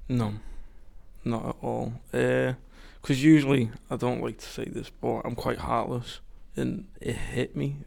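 A man with a Liverpool accent at a moderate pace. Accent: Scouse. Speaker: YMCA resident. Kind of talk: interview.

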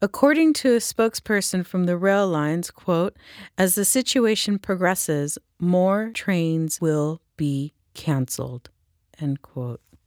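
With a normal speaking voice, a woman of fairly low pitch talks at a fairly slow pace with lively intonation, in a dry, close sound with no echo. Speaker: podcast host. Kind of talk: news reading then interview.

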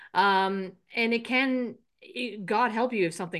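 Against a quiet background, a woman with an Irish accent speaks in a bright, sharp tone. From Ireland. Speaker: podcast host, business coach. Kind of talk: casual interview chat.

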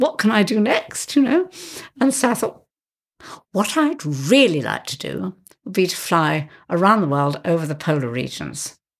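A British accent with vocal fry and very wide pitch swings, delivered at a moderate pace in a very clean recording over a silent background. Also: woman, medium pitch for a woman. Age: 70s. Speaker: aviator. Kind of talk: interview.

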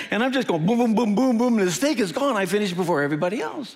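The speech moves at a very fast pace. Noticeable background noise runs behind it. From US Midwest. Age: 60s. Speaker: pastor. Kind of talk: sermon. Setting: church with live audience. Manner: animated.

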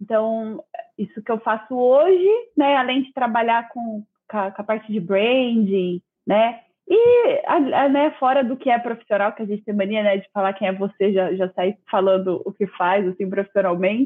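With a fairly high pitch, ordinary pitch variation and an unremarkable speaking voice, a woman speaks at a moderate speed. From Brazil, Campinas, São Paulo. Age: 20s. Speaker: designer and content creator. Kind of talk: casual interview chat. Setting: video call live stream.

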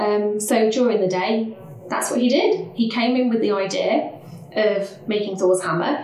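A woman's medium-pitched voice in an East Midlands accent, moderate in pace with ordinary pitch variation, amid noticeable background noise and audible room echo. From Leicester, England. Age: 40s. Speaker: early years education leader. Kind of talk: casual interview. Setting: studio, face to face.

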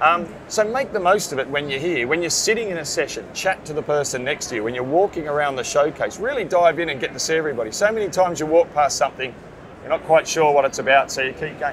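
Lively intonation and an Australian accent drive very fast speech with hardly any pauses. Noticeable background noise sits behind it. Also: man. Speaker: print business owner and industry association chairman. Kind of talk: interview. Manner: halting, many fillers.

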